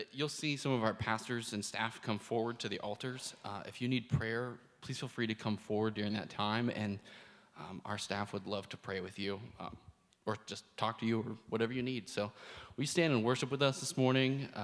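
A man speaks at a moderate pace in a medium pitch with ordinary pitch variation. His is an unremarkable speaking voice. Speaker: church host. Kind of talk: church announcements. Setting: church.

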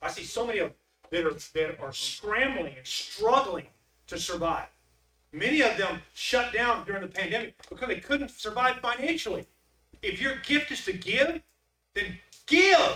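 A man speaks at a moderate pace in a raised, projected voice, extremely high in pitch with very wide pitch swings and big swings in loudness. He leaves long, frequent pauses. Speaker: preacher. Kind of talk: sermon. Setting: church. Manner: animated.

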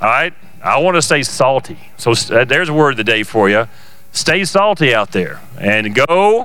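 A man talks at a moderate pace and a medium pitch, with very wide pitch swings but very even loudness. Noticeable background noise can be heard. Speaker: service host, church leader. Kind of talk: casual welcome and announcements. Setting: church, live stream. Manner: jovial, joking.

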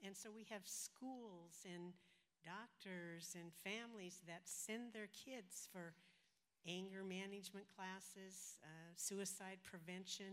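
A woman talks in a normal speaking voice at a medium pitch. Her pace is fairly slow and her intonation fairly even. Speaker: youth ministry leader, retired. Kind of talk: interview in church service. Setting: church.

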